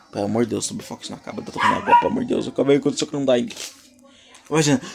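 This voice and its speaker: Talking very fast in an animated tone, a man with a fairly high voice swings his pitch very widely over noticeable background noise. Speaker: creator explaining own fictional universe. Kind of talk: casual vlog monologue. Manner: halting.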